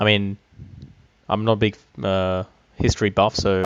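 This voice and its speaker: This is a man with an Australian accent. His pitch sits fairly low. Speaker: gaming YouTuber. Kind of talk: casual commentary over gameplay. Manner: hesitant, many fillers.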